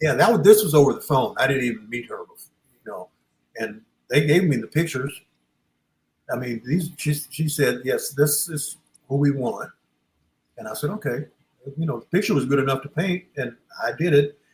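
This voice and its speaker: A man with a fairly high, somewhat breathy voice talks at a moderate pace with lively intonation, big swings in loudness, and long, frequent pauses. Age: 70s. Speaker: sports artist. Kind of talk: casual chat.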